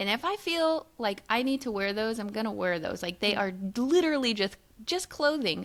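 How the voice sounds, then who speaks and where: With a plain, everyday voice, a woman speaks at a moderate pace and fairly high pitch, her intonation lively. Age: 40s. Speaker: podcast co-host. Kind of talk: casual chat.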